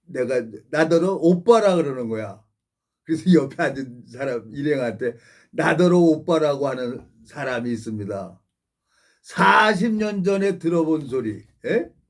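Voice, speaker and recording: Fairly high in pitch, a man speaks at a fairly slow pace with very wide pitch swings. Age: 60s. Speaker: pastor. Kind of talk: sermon. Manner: rambling conversational preaching.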